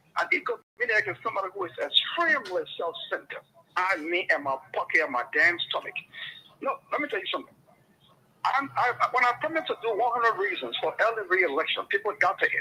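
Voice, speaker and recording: Noticeable noise runs in the background. Over it, a man talks very fast. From Liberia. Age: 70s. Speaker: political commentator. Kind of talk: radio talk show debate. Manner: animated.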